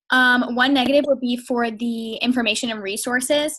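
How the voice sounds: At a moderate pace, a woman speaks with a fairly bright tone, fairly high pitch and fairly even intonation.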